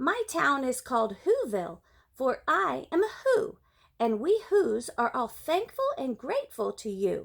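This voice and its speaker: A woman uses a high-pitched put-on character voice, speaking at a moderate pace in a very clean recording with a silent background. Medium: read story.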